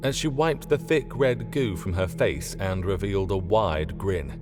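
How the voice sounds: A man speaks at a fairly slow pace and low pitch, with ordinary pitch variation. Clear music plays in the background.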